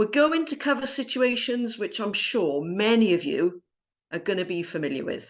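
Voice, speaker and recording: Fairly high-pitched woman with a Welsh accent and very wide pitch swings, over a quiet background. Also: moderate pace. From South Wales. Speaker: entrepreneur and former genetic scientist. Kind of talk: personal story talk.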